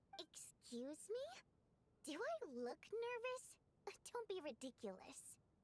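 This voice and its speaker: A woman's put-on character voice at an extremely high pitch, with very wide pitch swings and a very slow pace. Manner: defensive, indignant.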